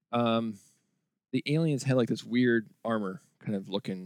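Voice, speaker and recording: A man with a plain, everyday voice talks at a moderate pace and fairly low pitch with lively intonation, in a dry, close sound with no echo. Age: 40s. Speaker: video game podcast host. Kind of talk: casual chat.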